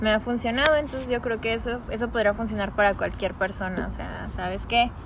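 There is audible room echo and noticeable background noise as a woman speaks in a fairly high voice. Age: 20s. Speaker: office worker. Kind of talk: casual interview.

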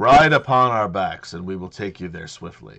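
A man's put-on character voice with a fairly low pitch. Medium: actual play. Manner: formal, terse.

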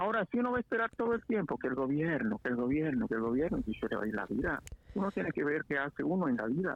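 At a very fast pace, a man with a fairly high pitch makes very wide pitch swings while keeping his loudness very even. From Guatemala, Huehuetenango border area near Mexico. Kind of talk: casual chat.

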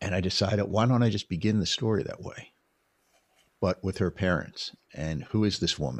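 A man speaks at a fairly quick pace with an American accent, vocal fry and ordinary pitch variation. The recording is very clean, with a silent background. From US Northeast, Philadelphia or New York area. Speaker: documentary filmmaker. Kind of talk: interview, casual conversation. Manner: halting, many repeated starts.

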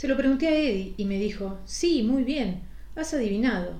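The woman's voice has a dark, mellow tone. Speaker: podcast host reading a short story. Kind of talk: ghost story narration, first-person scripted reading.

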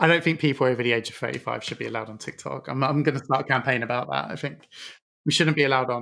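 Speaking at a very fast pace, a man uses a bright, sharp tone at medium pitch with vocal fry. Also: ordinary pitch variation. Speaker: podcast host. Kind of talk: casual interview. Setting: studio.

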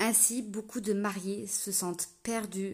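A somewhat breathy woman talks in a medium pitch. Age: 30s. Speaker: wedding planner, podcast host. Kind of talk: scripted solo podcast intro.

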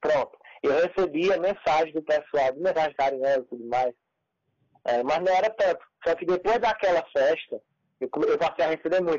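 A man's high-pitched voice at a moderate pace, with ordinary pitch variation and long, frequent pauses. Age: 20s. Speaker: youtuber and comedian. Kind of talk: casual interview chat.

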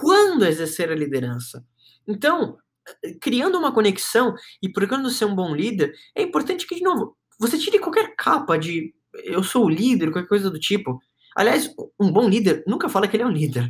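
Pausing long and often, a man speaks at a moderate pace with a high pitch and very wide pitch swings. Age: 20s. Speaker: podcast host and marketing agency owner. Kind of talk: motivational talk.

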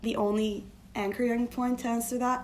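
The woman speaking has a fairly high pitch. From Turkey. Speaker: design strategist. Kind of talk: casual interview.

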